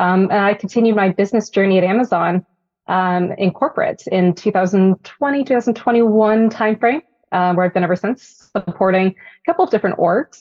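With an American accent, a woman speaks in an unremarkable speaking voice at medium pitch and a moderate pace, with ordinary pitch variation and very even loudness. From Northern California. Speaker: Army veteran and corporate manager. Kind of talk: interview.

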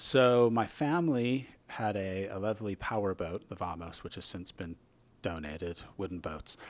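A man with an American accent and an ordinary speaking voice, fairly low in pitch, lively in intonation, at a moderate pace, in a very clean recording with a silent background. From Southern California. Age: 50s. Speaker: circumnavigator and sailing writer. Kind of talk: interview. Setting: machine shop. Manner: casual with frequent fillers.

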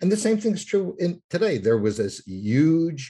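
With an American accent, a man talks at a fairly slow pace. His voice is dark, mellow, and somewhat breathy. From New York. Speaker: author and urban researcher. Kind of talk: interview.

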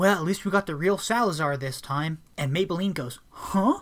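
Using an unremarkable speaking voice, a man talks at a moderate pace with lively intonation. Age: 20s. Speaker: podcast co-host reviewing films. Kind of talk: casual chat.

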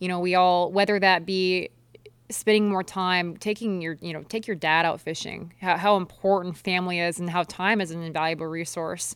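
A woman's monotone, flat delivery in a Midwestern American accent. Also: medium pitch for a woman, moderate pace. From eastern Nebraska. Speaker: professional kayak angler. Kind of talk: interview.

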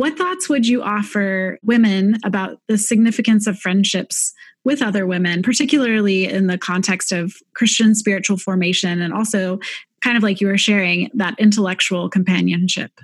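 Her medium-pitched, somewhat breathy voice keeps a moderate pace and ordinary pitch variation. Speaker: podcast host. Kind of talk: interview conversation. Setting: video call.

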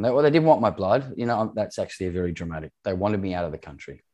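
The voice carries an Australian accent and a dark, mellow tone. The background is quiet. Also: man. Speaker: former farm manager in Zimbabwe. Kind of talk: interview conversation.

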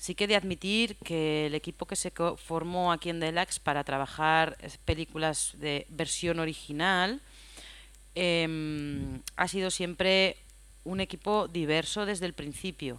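A woman talks in a plain, everyday voice. Her pitch is fairly low and her pace fairly slow. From Spain, Aragón (Huesca). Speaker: film sound mixer. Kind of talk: interview.

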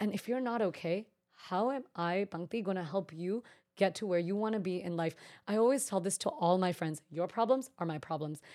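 In an American accent, a woman speaks fairly quickly in a calm, dark, mellow tone with ordinary pitch variation. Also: medium pitch for a woman. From US West Coast, Bay Area, Northern California. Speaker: event planner and genetic counselor. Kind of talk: interview conversation.

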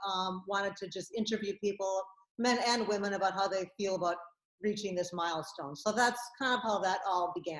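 This is an unremarkable speaking voice from a woman at a medium pitch. She goes at a fairly quick pace with fairly even intonation. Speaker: filmmaker. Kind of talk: casual interview.

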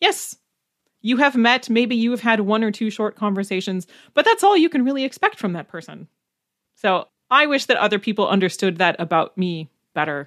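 A woman with an ordinary speaking voice, fairly high pitch, lively intonation and a fairly quick pace, on a very clean recording with a silent background and a dry, close sound with no echo. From Wisconsin, US Upper Midwest. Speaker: German language teacher. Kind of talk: casual interview chat. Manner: laughs often.

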